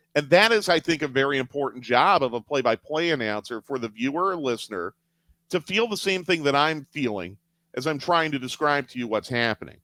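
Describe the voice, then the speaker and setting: With a fairly high pitch, a man talks at a fairly quick pace in lively intonation and a bright, sharp tone, recorded very cleanly against a silent background with a dry, close sound and no echo. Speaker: radio play-by-play announcer. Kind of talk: interview answer.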